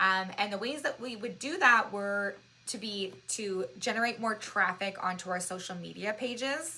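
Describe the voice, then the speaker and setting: Loud and bright with a sharp tone, a woman speaks at a moderate pace and medium pitch with ordinary pitch variation. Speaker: social media marketing consultant. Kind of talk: webinar presentation. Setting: webinar at a whiteboard. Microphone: new microphone.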